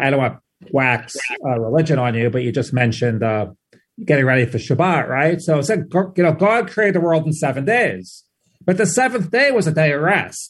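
With a New York accent, a man with a fairly high voice talks at a moderate pace, his pitch swinging very widely. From New York (Queens). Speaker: journalist, head of news content. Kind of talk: casual interview chat. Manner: conversational, frequent fillers.

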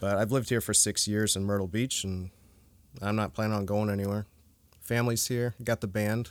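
Delivered at a fairly quick pace with fairly even intonation, an ordinary speaking voice with an American accent comes through in a very clean recording with a silent background. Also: man, fairly low pitch for a man. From US, northern Virginia (Fairfax County). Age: 30s. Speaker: metal guitarist. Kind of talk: casual chat. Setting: storage unit.

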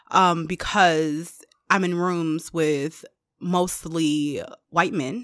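Very slowly, a woman speaks with fairly even intonation. Her pitch is fairly low. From Detroit, US Midwest. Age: 30s. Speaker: higher education administrator and seminary student. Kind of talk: casual chat.

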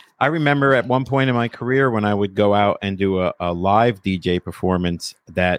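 With a New Jersey accent, a man speaks at a moderate pace in a fairly low pitch, with ordinary pitch variation and a dry, close sound with no echo. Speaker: podcaster and former DJ. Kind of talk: casual chat.

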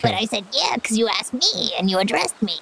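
Over clear background noise, a female-sounding voice rattles off a put-on character voice at a very fast pace and fairly high pitch. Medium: actual play. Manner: giggly, scatterbrained.

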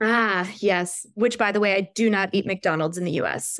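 A woman uses a plain, everyday voice at a medium pitch and a moderate pace. Her intonation is fairly even, and the recording is very clean with a silent background. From Richmond, Virginia, US. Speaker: American expat and social media creator. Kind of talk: casual interview.

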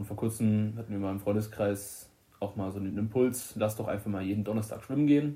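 A man talks very fast with a fairly low pitch and a dark, mellow tone. His voice is somewhat breathy. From Germany, Limburg-Weilburg district, Hesse. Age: 20s. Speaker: electrician. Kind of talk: casual chat. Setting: recorded on a tablet microphone.

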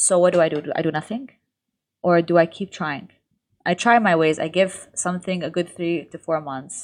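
A woman with an ordinary speaking voice talks at a moderate pace in a fairly low pitch with ordinary pitch variation, against a quiet background. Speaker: lifestyle content creator. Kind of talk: casual interview chat.

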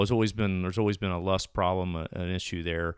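A man with a plain, everyday voice and fairly low pitch speaks at a fairly quick pace with ordinary pitch variation, in a very clean recording with a silent background. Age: 50s. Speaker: college dean of men. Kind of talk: casual interview.

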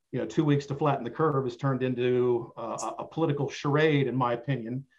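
A man talks in a normal speaking voice with fairly high pitch. His pace is fairly quick. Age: 50s. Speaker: podcast guest. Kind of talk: casual chat.

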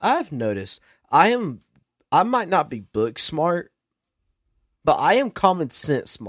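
A man speaks with long, frequent pauses. The recording is very clean, with a silent background. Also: fairly slow pace. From South Carolina. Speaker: podcast guest. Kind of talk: casual chat.

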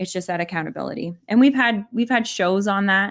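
Over a silent background on a very clean recording, a woman talks at a moderate pace with ordinary pitch variation. It is an ordinary speaking voice. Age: 40s. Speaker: podcast co-host. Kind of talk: casual chat. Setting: live stream.

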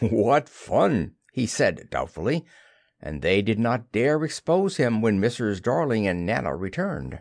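Reading aloud in a natural voice, intonation lively

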